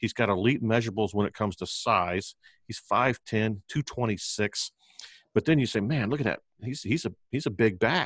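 A man with an unremarkable speaking voice talks at a moderate pace and medium pitch with ordinary pitch variation, in a dry, close sound with no echo and a quiet background. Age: 50s. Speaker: barbecue restaurateur and fantasy football podcaster. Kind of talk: casual chat.

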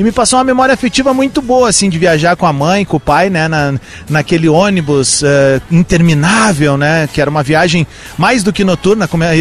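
A man speaks fairly quickly in a high pitch, with lively intonation and very even loudness. Noticeable background noise is present. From Rio Grande do Sul interior (Cerro Largo). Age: 40s. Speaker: radio host. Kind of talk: live outdoor radio broadcast with street interviews. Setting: outdoors in the street. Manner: animated.

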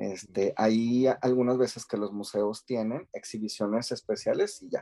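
A man's medium-pitched voice with a dark, mellow tone and a dry, close sound with no echo. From Mexico. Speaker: podcast co-host. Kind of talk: casual chat.

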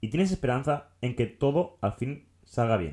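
This man's dark, mellow tone carries lively intonation on a very clean recording with a silent background. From Catalonia, Tarragona area. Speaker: podcast co-host. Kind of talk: casual chat.

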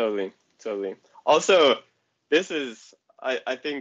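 This is a man speaking. He has an American accent. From Colorado, US. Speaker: track cyclist. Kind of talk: casual interview conversation.

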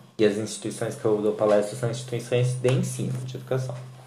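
A man's voice over background music. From Brazil, countryside (interior). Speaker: podcast host and fashion designer. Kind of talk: casual chat. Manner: animated.

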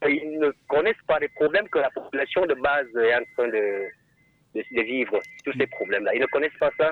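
A man talks at a fairly quick pace. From Cameroon, Haute-Sanaga. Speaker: caller. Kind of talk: call-in testimony. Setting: phone call.

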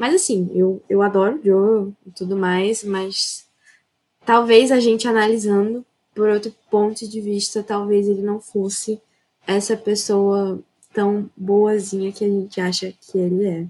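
Dark, mellow tone with monotone, flat intonation at a fairly slow pace. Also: woman, medium pitch for a woman. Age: young. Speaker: architecture student, gamer. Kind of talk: casual chat.

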